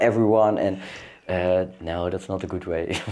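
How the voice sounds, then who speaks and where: A man speaks with a non-native accent at a moderate pace. His intonation stays fairly even. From Netherlands, Amsterdam. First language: Dutch. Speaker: para-equestrian athlete. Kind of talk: casual chat. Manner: halting.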